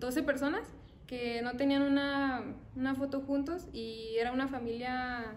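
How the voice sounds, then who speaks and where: A high-pitched woman's voice at a fairly slow pace, over light background noise. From Mexico, Zacatecas. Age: 20s. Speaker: young artist and university student. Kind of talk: interview testimony. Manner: hesitant, with fillers. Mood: calm, slightly shy.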